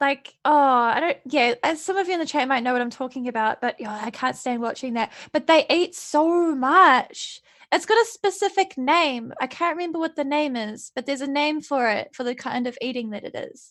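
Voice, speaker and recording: Speaking at a moderate pace, a woman with a New Zealand accent uses a high pitch and lively intonation. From New Zealand, Napier. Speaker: streamer guest. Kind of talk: casual chat.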